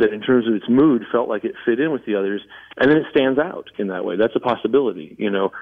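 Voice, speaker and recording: This man has an ordinary speaking voice with an American accent and a fairly low pitch. He talks at a fairly quick pace with ordinary pitch variation. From Southern California. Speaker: musician. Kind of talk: casual chat.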